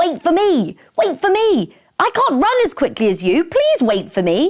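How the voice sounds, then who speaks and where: A croaky, put-on character voice pitched extremely high. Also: moderate pace. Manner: pleading, calling out.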